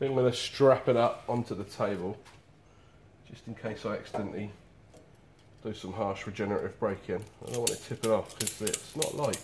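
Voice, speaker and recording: Light background noise sits behind a man. He talks at a fairly quick pace with fairly even intonation. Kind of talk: casual vlog chat. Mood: cheerful, laughing. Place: shop. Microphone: camera far.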